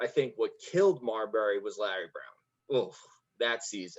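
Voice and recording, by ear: The intonation here is lively. The man speaks at a moderate pace.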